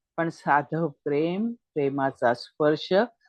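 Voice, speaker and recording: A woman is speaking. The sound is dry and close with no echo, against a quiet background. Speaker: astrologer and writer. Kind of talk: literary essay reading. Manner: emotive, expressive.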